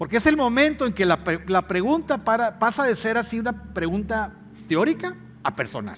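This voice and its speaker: His voice sits high for a man. The intonation is lively throughout. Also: moderate pace. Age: 60s. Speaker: pastor. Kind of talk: sermon. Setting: church.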